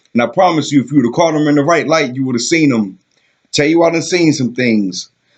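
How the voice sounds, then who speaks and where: This man has an ordinary speaking voice, pitched fairly high. His intonation is lively. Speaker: poet. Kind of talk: spoken word poetry performance.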